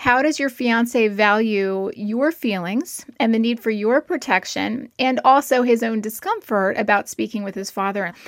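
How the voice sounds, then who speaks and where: A woman talks at a fairly slow pace with hardly any pauses. Hers is an unremarkable speaking voice, fairly high in pitch. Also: ordinary pitch variation. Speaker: clinical psychologist. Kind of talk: advice interview.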